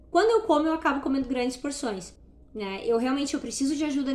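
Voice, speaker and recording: A woman's voice with ordinary pitch variation. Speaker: natural products store owner sharing weight-loss journey. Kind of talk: casual vlog monologue. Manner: fast; barely pausing for breath.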